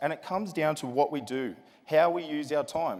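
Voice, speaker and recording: At a moderate pace, a man with a fairly high pitch sounds energetic, with ordinary pitch variation. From Australia, Sydney. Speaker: motivational speaker. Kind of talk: keynote speech. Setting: stage with large audience. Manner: energetic, addresses crowd with questions.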